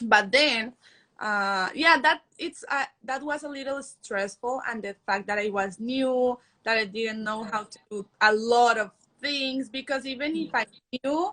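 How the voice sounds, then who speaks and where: The speaker has a Spanish accent and a bright, sharp tone, moving at a fairly slow pace. Pitch varies in an ordinary way, while loudness swings widely. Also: woman, high pitch for a woman. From Colombia. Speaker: culinary exchange intern. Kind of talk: testimonial interview. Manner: halting.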